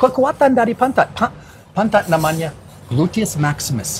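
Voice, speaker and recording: Through noticeable background noise, a man with an English accent speaks with very wide pitch swings. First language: English (speaking Indonesian). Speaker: fitness coach. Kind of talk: live Q&A. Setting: Instagram live stream. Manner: halting.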